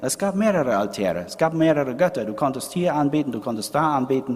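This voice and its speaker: A man with a plain, everyday voice talks at a medium pitch with lively intonation. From Paraguay. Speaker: preacher. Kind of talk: sermon. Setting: church. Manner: didactic, explanatory, moves from history to pointed rhetorical question; earnest, conversational, addressing congregation as 'euch'.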